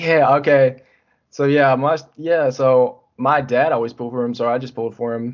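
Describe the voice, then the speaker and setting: A man with a plain, everyday voice and an American accent, medium-pitched, at a moderate pace with fairly even intonation. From North Carolina (Richmond County). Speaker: podcast guest, sports fan. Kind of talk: casual chat.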